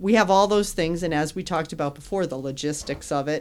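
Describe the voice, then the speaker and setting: A woman speaks in a plain, everyday voice with an American accent. Her pitch is fairly low and her pace moderate. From Connecticut, West Hartford. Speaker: postal service marketing manager. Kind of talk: casual interview.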